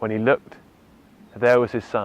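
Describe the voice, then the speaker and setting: In an English accent, a man speaks at a fairly low pitch. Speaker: photographer. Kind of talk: storytelling; tutorial.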